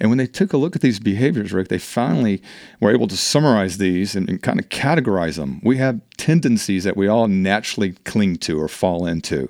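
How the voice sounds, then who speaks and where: A man speaks at a fairly quick pace with lively intonation and hardly any pauses, in a plain, everyday voice. His pitch is fairly low, and the very clean recording has a dry, close sound with no echo and a silent background. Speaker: HR and business leadership consultant. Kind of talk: casual interview. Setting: studio.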